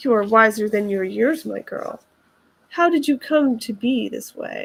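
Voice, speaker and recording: Putting on a character voice, a woman sounds shrill and nasal at a high pitch, speaking at a moderate pace. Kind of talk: fairy tale reading. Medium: read story. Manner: sneering, commanding.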